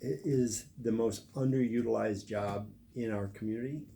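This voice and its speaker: A man's dark, mellow, somewhat breathy voice at medium pitch, with a moderate pace and ordinary pitch variation. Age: 60s. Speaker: political candidate. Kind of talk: interview. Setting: live stream.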